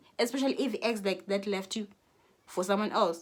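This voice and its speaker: A woman with a South African accent speaks in an animated tone. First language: Xhosa. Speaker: YouTuber. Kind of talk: casual vlog rant. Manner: halting.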